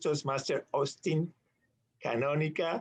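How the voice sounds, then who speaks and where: A man talks at a fairly slow pace with a non-native accent. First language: not English. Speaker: meeting emcee. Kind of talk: club meeting introduction.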